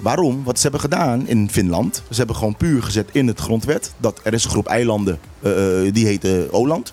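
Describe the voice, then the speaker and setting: A man speaks at a medium pitch with lively intonation and very even loudness. Music plays in the background. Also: moderate pace. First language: Papiamentu (speaking Dutch). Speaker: local politician. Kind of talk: heated debate.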